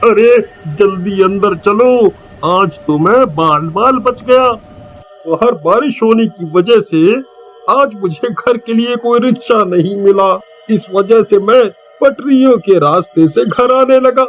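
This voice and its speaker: Over faint background music, a man uses a high-pitched put-on character voice at a fairly slow pace with ordinary pitch variation. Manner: panicked, stammering.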